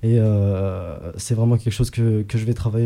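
A dark, mellow, somewhat breathy voice moves at a fairly quick pace with fairly even intonation. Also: man. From Egypt. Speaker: rapper. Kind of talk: radio interview. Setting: radio studio. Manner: halting.

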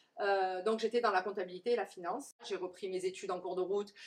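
A woman with an unremarkable speaking voice talks at a fairly quick pace, with ordinary pitch variation. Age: 40s. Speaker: curly hair coach. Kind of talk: interview. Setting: coworking space, on a sofa.

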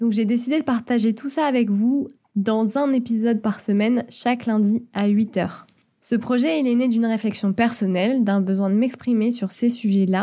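Recorded very cleanly against a silent background, a woman speaks at a moderate pace in a fairly high, somewhat breathy voice with a dark, mellow tone. Her intonation is fairly even and her loudness very even. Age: 20s. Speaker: podcaster. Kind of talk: solo podcast monologue. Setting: home studio.

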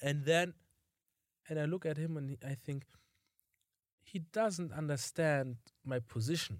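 A man with a German accent talks at a fairly slow pace and a fairly high pitch, with ordinary pitch variation and long, frequent pauses. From Germany. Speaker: podcast co-host. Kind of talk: casual chat.

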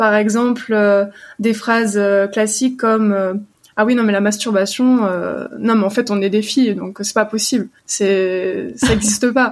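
A woman with a fairly high pitch talks at a fairly slow pace with fairly even intonation. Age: 20s. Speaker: psychosexology student. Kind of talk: interview. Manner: halting.

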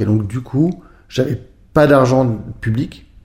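Dark and mellow in tone, the voice is somewhat breathy and moves at a very slow pace. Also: man. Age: 50s. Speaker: former pro snowboarder and art gallery founder. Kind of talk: interview. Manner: hesitant, many filler sounds.

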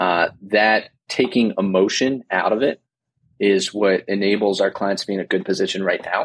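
Here is an ordinary speaking voice: a man with an American accent, at a fairly low pitch and a moderate pace, with fairly even intonation and very even loudness. The sound is dry and close, with no echo. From New Jersey. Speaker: financial planner. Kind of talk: casual interview.

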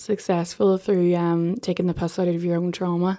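A woman speaks in an Irish accent. Her intonation is monotone and flat. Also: very clean recording, silent background. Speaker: political correspondent. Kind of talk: news discussion.

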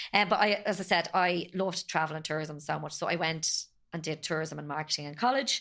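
In an Irish accent, a woman with a fairly low pitch and a bright, sharp tone talks at a fairly quick pace with ordinary pitch variation. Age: 40s. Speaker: podcast guest, bereaved mother. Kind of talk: personal testimony.

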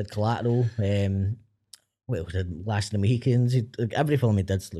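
A man with a Glaswegian accent speaks in a fairly low pitch, his dark, mellow tone somewhat breathy. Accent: Glaswegian Scottish. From Glasgow, Scotland. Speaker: filmmaker. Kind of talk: casual chat.

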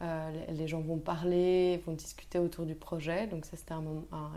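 A dark, mellow tone in a monotone, flat delivery, with audible room echo. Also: woman. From Belgium, Brussels. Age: 20s. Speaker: food entrepreneur. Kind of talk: interview.

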